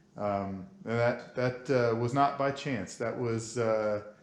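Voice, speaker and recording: The speaker has an American accent, and audible room echo surrounds the voice. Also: man. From Oklahoma. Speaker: car show host. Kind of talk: interview.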